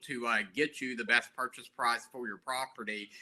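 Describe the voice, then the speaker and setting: The voice has a bright, sharp tone and a strong Southern US accent. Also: man. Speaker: lawyer. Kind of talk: guest talk at online seminar.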